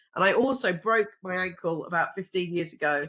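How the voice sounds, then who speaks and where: This woman's pitch swings very widely. Her tone is bright and sharp. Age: 60s. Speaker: reproductive scientist. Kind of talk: interview conversation.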